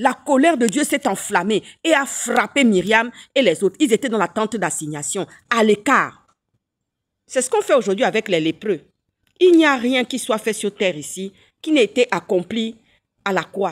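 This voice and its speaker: A woman speaks with very wide pitch swings and long, frequent pauses in a very clean recording with a silent background and a dry, close sound with no echo. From Gabon. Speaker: political commentator, physician. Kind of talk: political rant with preaching. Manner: animated, repetitive stammering.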